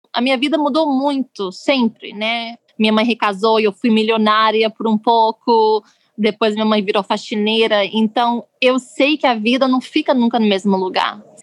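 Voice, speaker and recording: A woman speaks in an unremarkable speaking voice at a moderate pace and fairly high pitch, with fairly even intonation and very even loudness, in a dry, close sound with no echo. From Brazil, Rio de Janeiro. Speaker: politician's spouse, activist. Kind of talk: interview storytelling.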